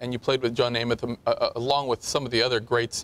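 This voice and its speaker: In an ordinary speaking voice with an American accent, the speaker talks at a fairly quick pace, the sound dry and close with no echo. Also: man. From Southern California. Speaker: talk show host. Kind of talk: talk show interview.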